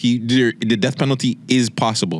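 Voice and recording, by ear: At a moderate pace, a man speaks in a medium pitch with ordinary pitch variation.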